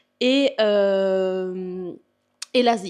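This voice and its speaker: A woman with a Belgian accent talks at a medium pitch with fairly even intonation. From Belgium. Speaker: bodybuilder and fitness coach. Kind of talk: casual vlog Q&A. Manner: hesitant, many fillers.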